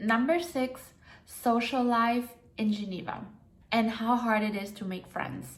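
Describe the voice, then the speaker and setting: With noticeable background noise and audible room echo, a woman with a German accent speaks fairly slowly in a fairly high pitch, using ordinary pitch variation. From Germany. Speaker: vlogger. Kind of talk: vlog advice talk. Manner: casual, conversational.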